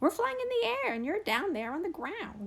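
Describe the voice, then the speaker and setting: A squeaky put-on character voice at a moderate pace with very wide pitch swings. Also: woman. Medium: read story.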